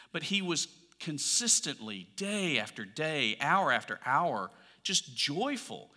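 A fairly high-pitched man with an Alabama accent, a bright, sharp tone, vocal fry, very wide pitch swings and a fairly slow pace. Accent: Southern US (Alabama). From US South, Alabama. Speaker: pastor. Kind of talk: sermon.

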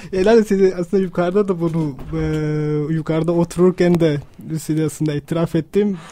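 Over noticeable background noise, a man talks at a moderate pace in a high voice with fairly even intonation. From Pakistan. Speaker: radio listener and supporter, architect. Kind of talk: radio interview. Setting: radio studio. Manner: halting, many fillers.

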